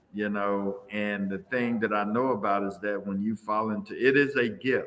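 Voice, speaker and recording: The voice has a bright, sharp tone and fairly even intonation. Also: man. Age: 60s. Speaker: visual artist. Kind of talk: interview.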